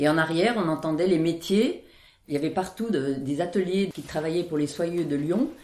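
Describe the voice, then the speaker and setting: Using an ordinary speaking voice, a woman with a fairly low pitch talks at a moderate pace with ordinary pitch variation and very even loudness. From France, Isère. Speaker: villager recalling childhood. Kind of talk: oral history interview.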